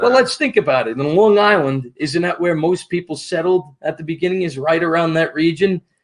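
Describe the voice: A man with a New York accent, high-pitched, at a fairly quick pace with hardly any pauses and ordinary pitch variation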